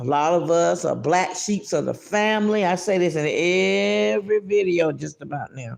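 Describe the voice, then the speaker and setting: A woman speaks at a very deep, low pitch and a fairly slow pace. Her tone is animated, and her pitch swings very widely. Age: 50s. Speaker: livestream podcaster, mental health advocate. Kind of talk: casual livestream chat with spiritual encouragement. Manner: animated, repetitive.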